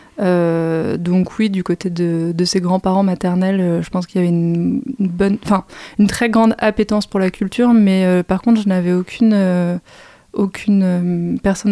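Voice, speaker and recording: In a dry, close sound with no echo, a woman with a dark, mellow tone speaks at a medium pitch, at a fairly slow pace and with fairly even intonation. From Île-de-France, Val-de-Marne. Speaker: arts communications manager. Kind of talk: interview.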